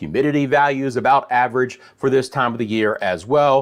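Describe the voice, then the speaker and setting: With an American accent, a man speaks at a fairly high pitch and fairly quick pace in an unremarkable speaking voice. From Central Florida. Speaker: meteorologist. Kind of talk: weather forecast livestream. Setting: live stream. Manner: casual, conversational.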